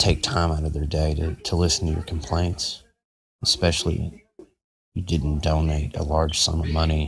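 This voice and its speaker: Soft-spoken and very deep in pitch, a man with an American accent speaks fairly slowly in a flat monotone, pausing long and often. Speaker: podcast host. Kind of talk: casual monologue.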